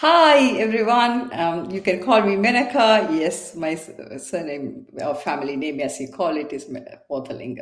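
A woman speaks with few pauses. Her pitch is fairly low, with ordinary pitch variation. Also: moderate pace.

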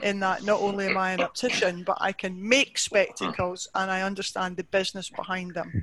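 A woman with a Scottish accent speaks at a fairly quick pace and a medium pitch. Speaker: optician. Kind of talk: interview.

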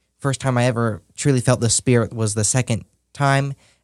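A man's normal speaking voice at medium pitch and moderate pace, with fairly even intonation, dry and close with no echo, on a very clean recording with a silent background. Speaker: church intern. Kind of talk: interview.

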